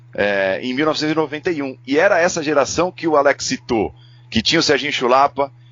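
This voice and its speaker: A man talks at a moderate pace in a fairly high pitch with ordinary pitch variation. It is a normal speaking voice. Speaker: sports commentator and narrator. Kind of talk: casual chat.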